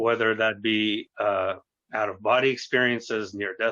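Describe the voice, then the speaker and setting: A man with an American accent speaks at a medium pitch. His pace is fairly slow and his intonation fairly even. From US, New York City and Arizona. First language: Russian. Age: 30s. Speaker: youtuber, paranormal experiencer. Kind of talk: interview.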